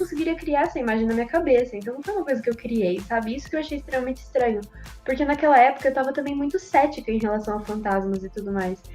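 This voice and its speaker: Over background music, a woman talks very fast in a high pitch with lively intonation. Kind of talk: personal horror story told in podcast.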